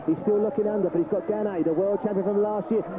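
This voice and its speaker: A man talks at a very fast pace. Noticeable background noise runs beneath his words. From London. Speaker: cycling commentator. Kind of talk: live commentary. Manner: animated.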